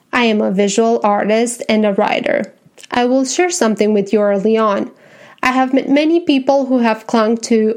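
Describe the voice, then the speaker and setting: A woman speaks with a Romanian accent. Her pitch sits fairly high. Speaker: podcast host, visual artist and writer. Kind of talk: scripted podcast introduction. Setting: home. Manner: formal.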